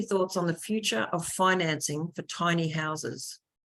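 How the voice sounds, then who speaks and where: A woman speaks with an Australian accent. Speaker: webinar host. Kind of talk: online panel moderation.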